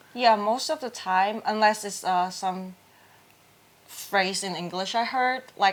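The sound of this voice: A woman with a medium pitch speaks at a slow pace in a Hong Kong accent. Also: ordinary pitch variation. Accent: Hong Kong Cantonese.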